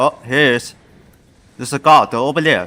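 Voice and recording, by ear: The speaker has a bright, sharp tone, ordinary pitch variation and a fairly slow pace. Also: man, medium pitch for a man.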